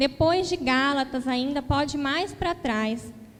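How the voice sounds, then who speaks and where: A woman with a high voice speaks very slowly and with lively intonation, her words carrying an audible room echo. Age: 20s. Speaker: lay preacher. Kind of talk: sermon.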